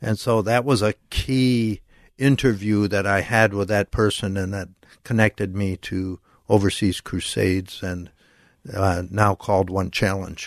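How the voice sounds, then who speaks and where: In a quiet background with a dry, close sound and no echo, a man with an American accent and an unremarkable speaking voice talks at a fairly slow pace, his fairly low pitch held in fairly even intonation. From Minnesota. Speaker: missionary. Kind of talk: interview. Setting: studio.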